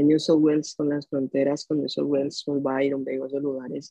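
A man speaks at a moderate pace with a monotone, flat intonation. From Colombia, Bogotá. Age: 20s. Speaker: musician. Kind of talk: interview conversation.

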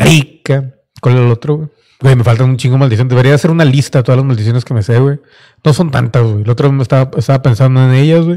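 A man with a dark, mellow tone and a medium pitch talks at a very fast pace. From Mexico (Monterrey). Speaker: podcast host. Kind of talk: casual solo monologue. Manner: animated.

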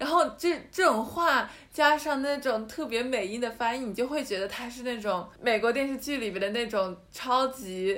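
Speaking at a high pitch, a woman keeps a moderate pace. Her intonation is lively, with hardly any pauses. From Yantai, Shandong, China. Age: young. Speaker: art student podcast co-host. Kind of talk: casual chat.

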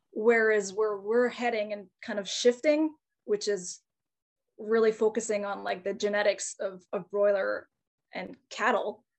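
A woman with a Canadian accent and a plain, everyday voice speaks fairly slowly at a medium pitch with fairly even intonation. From Northern Ontario, Canada (Timmins area). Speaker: chicken farmer and online educator. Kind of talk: casual interview.

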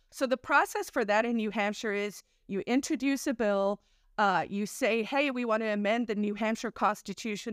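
A woman speaks at a moderate pace with a fairly high pitch and ordinary pitch variation, in an ordinary speaking voice. The recording is very clean with a silent background. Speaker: activist. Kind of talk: casual interview chat.

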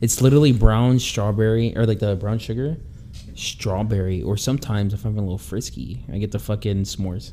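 A man with a normal speaking voice, fairly low in pitch, ordinary pitch variation, at a fairly quick pace. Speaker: podcast host. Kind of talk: casual banter podcast. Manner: joking, laid-back.

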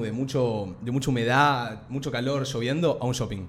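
Speaking in a Rioplatense accent, a man holds a medium pitch and fairly even intonation at a moderate pace, with audible room echo. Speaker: podcast co-host. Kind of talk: casual chat.

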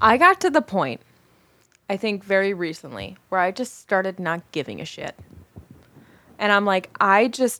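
Speaking at a moderate pace, a woman with a medium pitch uses lively intonation and long, frequent pauses. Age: 30s. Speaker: podcast co-host. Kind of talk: casual chat.

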